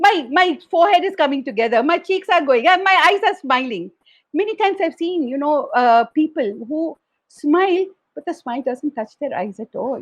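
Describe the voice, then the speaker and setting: Moderate pace with very wide pitch swings. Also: woman, high pitch for a woman. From South India. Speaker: educator and founder of a learning organisation. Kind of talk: guest talk at an online awards event.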